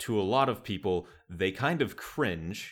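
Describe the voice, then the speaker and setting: A man with an American accent speaks very slowly with ordinary pitch variation, in a very clean recording with a silent background. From US Midwest, Wisconsin. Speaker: podcast host. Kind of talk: casual chat.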